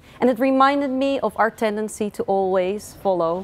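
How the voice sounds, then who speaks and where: A woman's medium-pitched voice with a Dutch accent and ordinary pitch variation. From Netherlands. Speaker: author. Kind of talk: book presentation.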